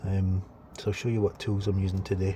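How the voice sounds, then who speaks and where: A man's fairly low, somewhat breathy voice. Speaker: delivery driver and van-conversion vlogger. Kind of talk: DIY tutorial vlog. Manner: casual, hesitant with fillers.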